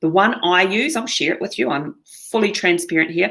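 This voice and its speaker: A woman with a fairly low pitch speaks in a New Zealand accent. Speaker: online marketing presenter. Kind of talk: webinar presentation.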